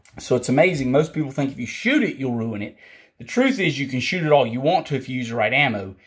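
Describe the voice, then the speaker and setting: Speaking at a very fast pace with an American accent, a man uses a medium, somewhat breathy pitch that varies in an ordinary way. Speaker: firearms instructor. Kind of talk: tutorial. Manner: casual.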